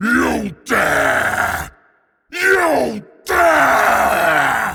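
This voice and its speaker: Bellowing in a raspy put-on character voice, a man reaches an extremely high pitch. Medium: audio drama. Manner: roaring, furious.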